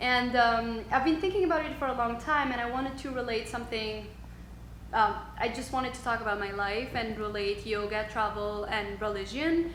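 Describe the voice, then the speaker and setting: A speaker with a French accent talks at a moderate pace with ordinary pitch variation. Noticeable background noise and audible room echo come through in the recording. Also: woman, fairly high pitch for a woman. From Tunisia and Switzerland (French-speaking). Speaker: yoga instructor. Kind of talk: interview conversation. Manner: halting.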